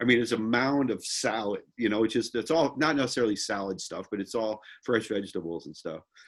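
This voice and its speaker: On a very clean recording with a silent background, a man with an unremarkable speaking voice talks at a fairly quick pace, with hardly any pauses. His pitch is medium, with ordinary variation. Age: 60s. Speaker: real estate investor group member. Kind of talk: casual chat.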